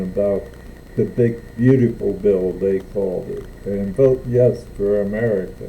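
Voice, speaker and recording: Over noticeable background noise, the speaker goes at a fairly slow pace with fairly even intonation. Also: man. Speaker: Navy veteran. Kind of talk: political rant vlog.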